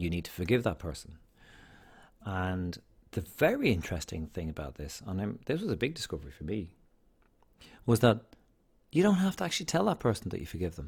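Here a man speaks with an Irish accent. His very deep, low pitch shows ordinary pitch variation. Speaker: podcast host, single parent. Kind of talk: casual monologue. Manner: rambling, conversational.

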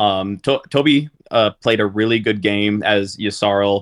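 An unremarkable speaking voice belongs to this man, with a fairly low pitch. He keeps a moderate pace and fairly even intonation. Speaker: board game tournament finalist. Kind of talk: casual interview chat.

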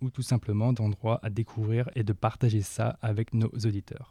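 The voice has a dark, mellow tone and is somewhat breathy, captured on a very clean recording with a silent background. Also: man, dry, close sound with no echo. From northern France. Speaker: volunteer podcast editor. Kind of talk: self-introduction.

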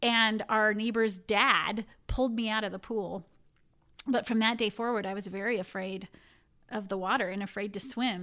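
On a very clean recording with a silent background, a woman speaks with fairly high pitch and a bright, sharp tone. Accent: American. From California. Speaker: immigration attorney. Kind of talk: interview conversation.

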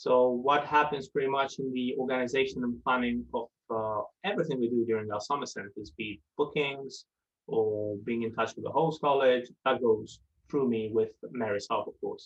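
A man speaking at a moderate pace with an Italian accent. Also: medium pitch for a man, ordinary pitch variation. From southern Italy. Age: young. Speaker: residential centre manager. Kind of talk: interview.

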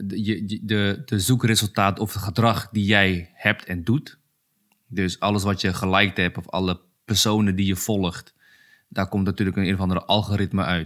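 The man has a normal speaking voice, fairly low in pitch, with fairly even intonation at a moderate pace. The recording is very clean, with a silent background. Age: 30s. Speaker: UX designer. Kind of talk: casual chat.

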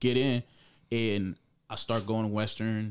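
Here a man talks at a fairly low pitch. His intonation stays monotone and flat. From Jamaica. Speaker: entrepreneur and gun store owner. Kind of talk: casual interview chat.

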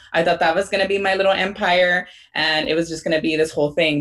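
A normal speaking voice with an American accent carries fairly even intonation. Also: woman. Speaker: teacher and podcaster. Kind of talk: interview chat.

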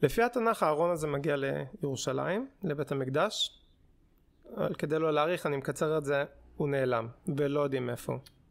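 At a moderate pace, a man with a fairly high pitch and ordinary pitch variation talks with long, frequent pauses. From Israel, religious community. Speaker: podcast co-host, doctoral student in archaeology. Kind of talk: casual chat; explaining history.

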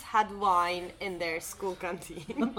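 Noticeable background noise sits behind this woman as she talks. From Turkey. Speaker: podcast co-host. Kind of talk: casual chat. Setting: cafe.

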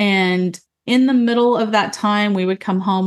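Against a quiet background, a woman talks with an American accent. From Utah, US. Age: 40s. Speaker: podcast host. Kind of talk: solo personal monologue. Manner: sing-songy when uncomfortable.

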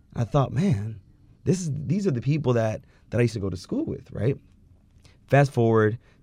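A man speaks with an American accent in a dark, mellow tone that is somewhat breathy. The background is quiet. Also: long, frequent pauses. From California. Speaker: law student. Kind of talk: interview.

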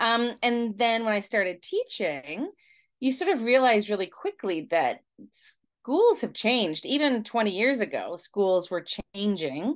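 At a fairly slow pace, an ordinary speaking voice comes through against a quiet background. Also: woman, fairly high pitch for a woman. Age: 50s. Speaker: elementary school teacher and researcher. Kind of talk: interview.

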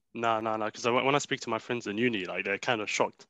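Against a quiet background, a man with a British accent speaks at a very fast pace in a bright, sharp tone with monotone, flat intonation. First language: Arabic. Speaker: podcast co-host. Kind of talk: casual chat.

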